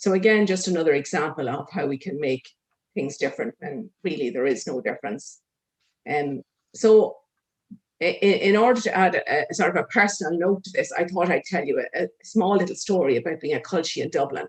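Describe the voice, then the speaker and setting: This speaker talks at a fairly quick pace with an Irish accent. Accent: Meath Louth Irish accent, retained. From Ireland, Meath/Louth. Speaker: social worker. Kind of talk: conference talk. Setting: conference.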